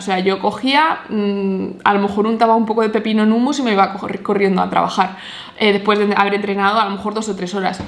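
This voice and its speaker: An animated woman at medium pitch and a fairly quick pace, with audible room echo and noticeable background noise. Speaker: nutritionist and fitness vlogger. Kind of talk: personal testimony. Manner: fast.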